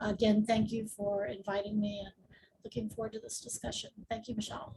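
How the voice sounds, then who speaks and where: A somewhat breathy woman with an American accent, a fairly high pitch and a dark, mellow tone, monotone and flat in intonation, with big swings in loudness at a fairly quick pace. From Tidewater area, Virginia. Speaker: real estate attorney. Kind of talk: panel discussion.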